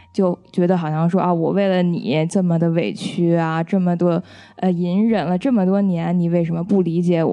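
In a Beijing accent, a woman speaks at a moderate pace with a dark, mellow tone, a fairly low pitch and very even loudness. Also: fairly even intonation. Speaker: film-trained guest reviewer. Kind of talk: casual film review chat.

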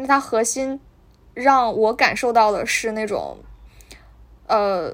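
This is a woman with a high pitch and ordinary pitch variation. The recording is very clean, with a silent background. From Northeast China. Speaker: podcast host. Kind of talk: casual book talk. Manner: hesitant, many fillers.

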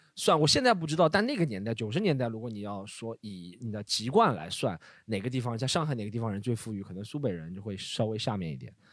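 Very fast and full of lively intonation, a man speaks at a medium pitch. The recording is very clean, with a silent background. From Shanghai. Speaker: comedy podcast co-host. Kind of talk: casual chat.

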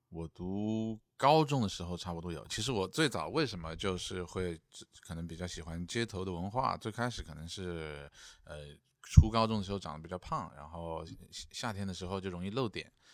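A man with a very deep, low pitch speaks at a moderate pace with ordinary pitch variation. His loudness swings widely on a very clean recording with a silent background. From Changsha, Hunan. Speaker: stand-up comedian and vlogger. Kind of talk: casual chat. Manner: stammering repetitions.

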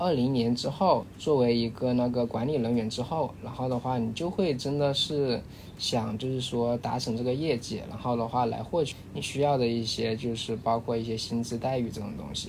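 With audible room echo, a man speaks at a moderate pace. His medium-pitched voice has ordinary pitch variation. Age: young. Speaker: training center manager. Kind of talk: casual chat.

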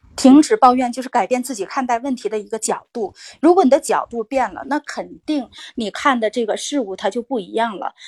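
Her voice high-pitched, a woman speaks at a fairly quick pace in a dry, close sound with no echo. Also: very clean recording, silent background. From Inner Mongolia, China. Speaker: communication course student. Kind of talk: practice conversation in class.

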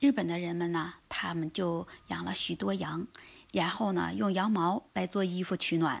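With vocal fry and a fairly low pitch, a woman speaks at a moderate pace on a very clean recording with a silent background. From China. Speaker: vlogger. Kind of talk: casual travel-food vlog talk. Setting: outdoors under cherry tree.

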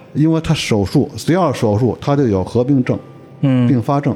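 A man talks at a moderate pace in a plain, everyday voice. His medium pitch moves with lively intonation. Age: 50s. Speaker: surgical oncologist. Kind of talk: casual chat. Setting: family home.

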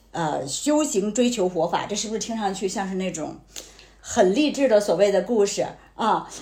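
Somewhat breathy and dark, mellow in tone, a woman of medium pitch speaks at a moderate pace with ordinary pitch variation, audible room echo around her. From Tianjin, China. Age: 40s. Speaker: insurance agent, former media professional. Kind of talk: casual chat.

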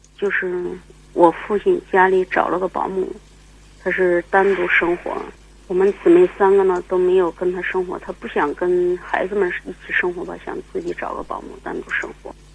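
At a moderate pace, the voice comes through noticeable background noise. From Nanyang, Henan, China. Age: 40s. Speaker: caller. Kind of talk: advice call-in. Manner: halting.

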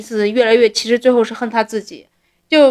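Here a woman talks at a fairly quick pace. Her pitch is high. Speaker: podcast co-host. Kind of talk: casual chat about a TV drama.

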